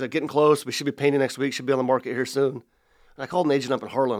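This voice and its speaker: In a very clean recording with a silent background, a man talks at a very fast pace. His pitch is medium, with an American accent. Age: 40s. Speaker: real estate agent. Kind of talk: interview. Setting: studio.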